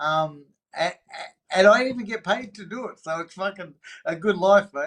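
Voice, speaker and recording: With an Australian accent, a man speaks at a high pitch and moderate pace, showing ordinary pitch variation and big swings in loudness. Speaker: recovering addict sharing his story. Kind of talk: podcast interview. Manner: animated.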